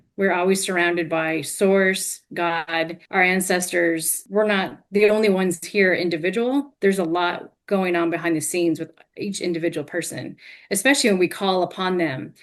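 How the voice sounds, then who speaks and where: Speaking at a moderate pace, a woman with an American accent uses an ordinary speaking voice. Her pitch is fairly low, and her intonation fairly even. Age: 50s. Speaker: hypnotherapist and life coach. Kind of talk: interview.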